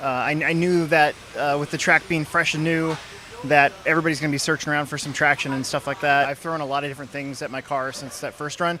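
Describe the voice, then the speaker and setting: Over noticeable background noise, a man with a fairly high pitch talks at a fairly quick pace in fairly even intonation. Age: 40s. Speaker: RC car racer. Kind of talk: interview.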